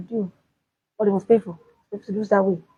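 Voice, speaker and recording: A woman speaks at a medium pitch in a dark, mellow tone that is somewhat breathy. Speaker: sports commentator. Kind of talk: solo sports talk video. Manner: halting.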